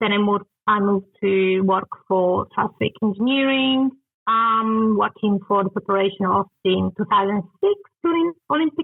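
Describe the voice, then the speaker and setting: A woman speaks at medium pitch in an Italian accent, with ordinary pitch variation. Her pace is moderate and her loudness stays very even. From Italy. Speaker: construction technology consultant. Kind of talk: interview. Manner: hesitant, many fillers.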